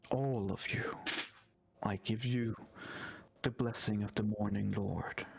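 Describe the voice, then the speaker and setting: A put-on character voice, resonant and booming, at a fairly slow pace with fairly even intonation and long, frequent pauses. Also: man, fairly low pitch for a man. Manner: soothing, resonant.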